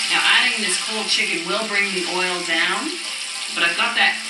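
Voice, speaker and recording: The speech moves at a moderate pace. Room echo is audible and background noise is loud. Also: woman. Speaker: cooking show host. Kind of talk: tutorial. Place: kitchen.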